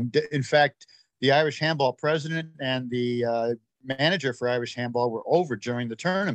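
Recorded with a dry, close sound and no echo, a man speaks in a normal speaking voice at a medium pitch with ordinary pitch variation. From United States (born in Ireland, emigrated very young). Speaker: sports association president. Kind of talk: interview.

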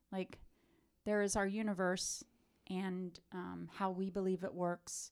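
At a very slow pace, a woman with an American accent speaks at medium pitch with fairly even intonation, in a very clean recording with a silent background. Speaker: podcast host and preacher. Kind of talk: casual chat. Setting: studio.

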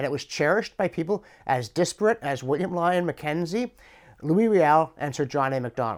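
An unremarkable speaking voice from a man with a Canadian accent, fairly high in pitch, at a fairly quick pace with lively intonation, in a very clean recording with a silent background. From Canada (Ontario). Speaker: professor and commentator. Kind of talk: scripted monologue answering a viewer question.

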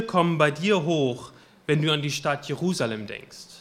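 The man speaks with ordinary pitch variation. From western Germany, Münsterland. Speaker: preacher. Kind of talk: sermon. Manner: halting.

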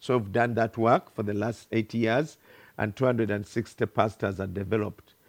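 A man with a Ugandan accent, in a dry, close sound with no echo and a very clean recording with a silent background. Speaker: pastor. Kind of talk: sermon. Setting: church.

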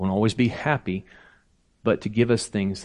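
A man has an ordinary speaking voice with a fairly low pitch. His intonation is fairly even, and the background is quiet. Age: 50s. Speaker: preacher. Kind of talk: sermon. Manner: casual, conversational.

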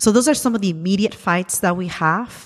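Recorded very cleanly against a silent background, a woman speaks with a Spanish accent. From Ecuador. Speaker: immigrant rights activist. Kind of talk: interview. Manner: halting, many fillers.

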